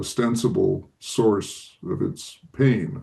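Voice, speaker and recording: A man talks at a very slow pace with vocal fry. His pitch is medium. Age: 80s+. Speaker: author answering audience questions. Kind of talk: interview answer. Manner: reflective, with frequent fillers.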